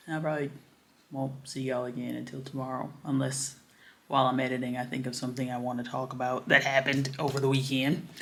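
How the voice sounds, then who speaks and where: A woman's very deep, low pitch, monotone and flat, at a very fast pace with audible room echo. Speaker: vlogger. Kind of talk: casual vlog chat. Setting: home office, self-filmed. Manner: chatty, casual.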